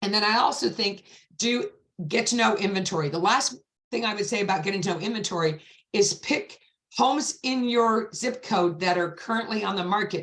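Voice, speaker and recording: A woman talks at a fairly quick pace in an animated tone, her medium pitch showing ordinary variation. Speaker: real estate agent. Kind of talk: panel discussion. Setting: video call. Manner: fast.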